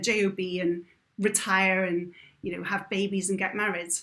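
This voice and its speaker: On a very clean recording with a silent background, a woman with a slight British accent speaks at a moderate pace in a medium pitch with monotone, flat intonation. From Britain. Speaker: adventurer and motivational speaker. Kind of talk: podcast interview.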